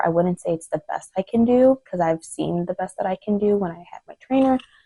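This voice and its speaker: The voice is soft-spoken, with a dark, mellow tone, moving at a very fast pace. The sound is dry and close, with no echo. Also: woman. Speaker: lifestyle vlogger. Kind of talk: casual chat. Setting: home, son napping.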